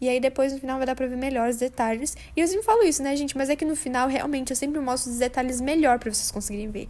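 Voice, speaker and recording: A woman talks very fast with a high pitch, ordinary pitch variation and hardly any pauses, over noticeable background noise. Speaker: craft youtuber. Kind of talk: casual narration over coloring video. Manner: animated.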